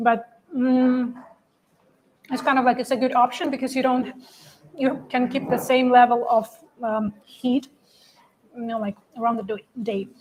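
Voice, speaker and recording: In a Russian accent, a woman with a high pitch speaks at a moderate pace in a monotone, flat intonation, leaving long, frequent pauses. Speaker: livestream co-host. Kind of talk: casual chat. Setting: trade show livestream.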